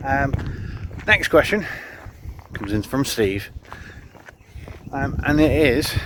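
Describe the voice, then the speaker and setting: A man's fairly high, lively voice at a very slow pace, with long, frequent pauses and noticeable background noise. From northern England (Cumbria). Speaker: amateur endurance sports vlogger. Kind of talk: casual Q&A vlog. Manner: casual, lots of ums and uhs.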